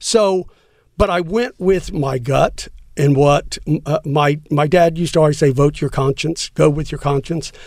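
At a fairly slow pace, this is an ordinary speaking voice with ordinary pitch variation. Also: man, fairly high pitch for a man. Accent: American. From Texas, San Antonio. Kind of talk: casual interview.

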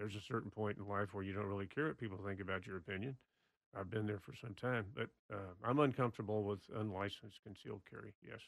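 A man with a Texan accent speaks at a very fast pace in a fairly low pitch with fairly even intonation. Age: 70s. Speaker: former state official and gun-law advocate. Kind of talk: casual interview discussion. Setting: studio.

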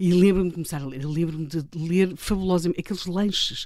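A woman speaks at a very fast pace in a dark, mellow tone. Her pitch sits fairly low, on a very clean recording with a silent background. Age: 60s. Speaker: political commentator and columnist. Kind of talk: casual interview. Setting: radio studio.

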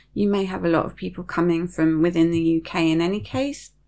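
With fairly even intonation and a British accent, a woman speaks on a very clean recording with a silent background. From UK. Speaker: podcast host and serviced accommodation host. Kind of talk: solo podcast monologue, informational. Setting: video recorded podcast. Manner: calm, measured, informative.

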